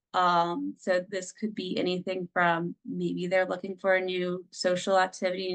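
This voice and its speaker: Dry and close with no echo, a woman speaks in a medium pitch at a fairly slow pace. Her intonation is monotone and flat. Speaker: family services director presenting on microboards. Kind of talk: presentation.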